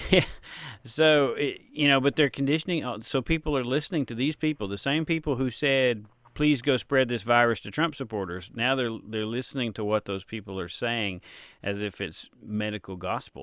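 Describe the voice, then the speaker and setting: A man with a Tennessee accent at a moderate pace, medium in pitch with ordinary pitch variation. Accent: Tennessee twang, natural. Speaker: author and interviewer. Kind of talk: casual interview chat.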